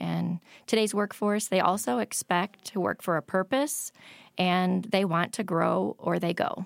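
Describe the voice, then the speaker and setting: In a very clean recording with a silent background, a woman with an American accent speaks at a fairly slow pace with vocal fry. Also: medium pitch for a woman, ordinary pitch variation, very even loudness. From Michigan, small town. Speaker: hospital administrator. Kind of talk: interview.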